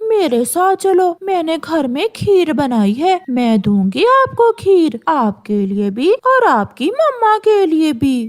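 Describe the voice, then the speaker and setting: A woman speaks in a cartoonish character voice at an extremely high pitch, with very wide pitch swings. Her pace is fairly slow, and she hardly pauses. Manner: falsely sweet, scheming.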